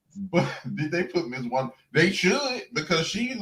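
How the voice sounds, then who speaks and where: A man with a strong Southern US accent speaks in a high voice that swings very widely in pitch. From Alabama, Birmingham. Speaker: YouTube guest commentator. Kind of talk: casual chat. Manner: animated.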